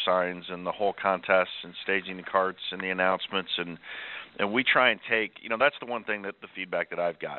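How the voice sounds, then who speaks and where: A man with an American accent and a normal speaking voice, fairly low in pitch, at a moderate pace. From Kansas City area, US Midwest. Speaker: golf course general manager. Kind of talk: interview.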